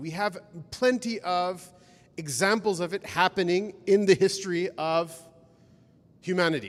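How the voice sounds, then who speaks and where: This is a man speaking. He has a Pacific Northwest accent. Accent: American, Pacific Northwest. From rural Washington State, US. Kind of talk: lecture. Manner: casual, conversational.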